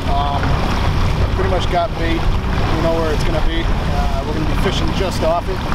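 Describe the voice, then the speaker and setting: Loud background noise behind a man, with a dry sound and no echo. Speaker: fishing guide. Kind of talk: casual explanation to camera. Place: boat. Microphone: camera far.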